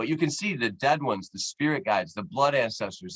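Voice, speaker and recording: Speaking at a very fast pace, a man sounds animated, with lively intonation. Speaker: anthropology professor. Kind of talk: lecture.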